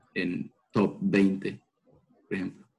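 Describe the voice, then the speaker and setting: A man's fairly low voice with a dark, mellow tone and a Salvadoran accent. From El Salvador. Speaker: pole vaulter and university student. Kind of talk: interview.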